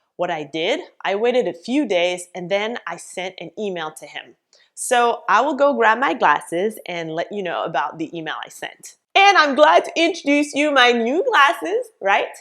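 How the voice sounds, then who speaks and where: Speaking at a moderate pace with a French Canadian accent, a woman with a fairly high pitch makes very wide pitch swings and big swings in loudness. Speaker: business coach. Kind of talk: vlog tutorial.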